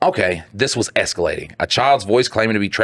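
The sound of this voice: The reading voice sounds unforced. Pitch moves in an ordinary way.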